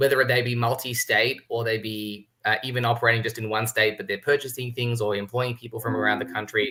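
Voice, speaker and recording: Medium-pitched male speech with an Australian accent, a bright, sharp tone and flat, monotone intonation. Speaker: tax consultant. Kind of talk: webinar panel discussion. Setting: livestream.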